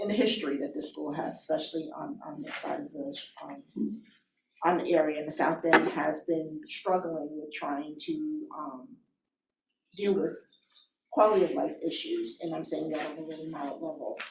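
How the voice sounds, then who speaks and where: A woman with an American accent at a moderate pace, big swings in loudness and audible room echo. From Albany, New York. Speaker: planning board member. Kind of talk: public hearing questioning. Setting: public meeting.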